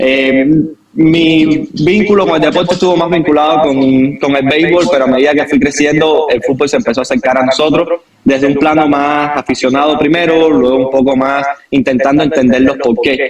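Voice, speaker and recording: A man's fairly high-pitched voice with a Cuban accent, ordinary pitch variation and very even loudness. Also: moderate pace. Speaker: football coach. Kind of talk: podcast interview.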